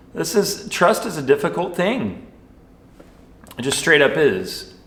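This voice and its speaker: A loud man's high-pitched voice at a fairly slow pace, with lively intonation and noticeable background noise. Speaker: youth minister. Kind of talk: sermon. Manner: casual.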